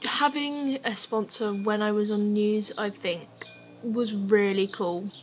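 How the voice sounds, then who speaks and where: Noticeable background noise sits under a woman speaking at a fairly high pitch. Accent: English. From England. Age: young. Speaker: scooter rider and vlogger. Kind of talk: casual vlog talk. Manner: casual, filler-heavy.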